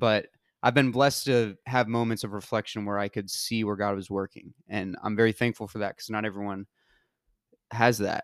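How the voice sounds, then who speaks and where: On a very clean recording with a silent background and a dry, close sound with no echo, a man with an American accent speaks at a moderate pace in monotone, flat intonation. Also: fairly low pitch for a man. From US South (Georgia). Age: 20s. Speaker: college soccer player. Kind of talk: testimony.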